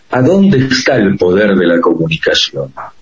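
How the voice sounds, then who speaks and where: At a very slow pace, a man with a medium pitch speaks with very wide pitch swings. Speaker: radio host and professor. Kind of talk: interview. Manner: formal.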